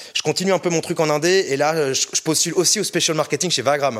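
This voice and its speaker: A man with a fairly high pitch. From France, Orléans. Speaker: music label director. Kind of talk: interview. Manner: casual, hesitant with fillers.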